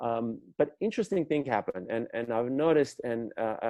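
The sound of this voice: Speaking with a post-Soviet accent, a man has a dark, mellow tone. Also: medium pitch for a man, lively intonation, moderate pace. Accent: foreign, from the former Soviet Union.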